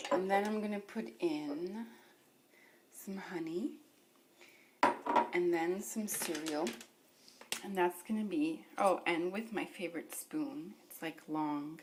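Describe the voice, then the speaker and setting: Over noticeable background noise, a woman with a fairly low voice speaks at a very slow pace, with lively intonation and long, frequent pauses. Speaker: beauty vlogger. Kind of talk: casual vlog. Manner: casual, lots of 'like'.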